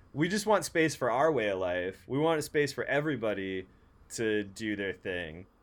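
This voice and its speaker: A man with an unremarkable speaking voice and lively intonation. He talks at a fairly slow pace. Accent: American. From San Francisco, US West Coast. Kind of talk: casual chat.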